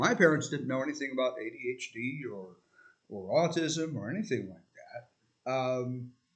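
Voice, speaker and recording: Here a man speaks at a moderate pace with medium pitch and lively intonation. His loudness swings widely. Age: 60s. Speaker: video essayist. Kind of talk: casual monologue. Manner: halting, with many fillers.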